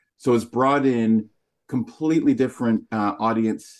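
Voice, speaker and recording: A plain, everyday voice, moderate in pace and fairly even in intonation, over a quiet background. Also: man. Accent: North American. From Canada. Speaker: magazine publisher. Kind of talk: interview.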